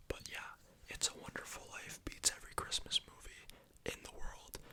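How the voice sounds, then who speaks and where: A man whispers at a moderate pace. Noticeable background noise can be heard. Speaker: ASMR youtuber. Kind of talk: casual ASMR movie ranking monologue.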